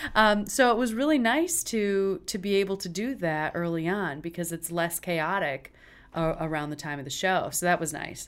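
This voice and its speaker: A woman with a plain, everyday voice and an American accent speaks at a moderate pace with a fairly low pitch and lively intonation on a very clean recording with a silent background. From West Michigan (small town near Traverse City). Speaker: opera company executive director. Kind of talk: interview.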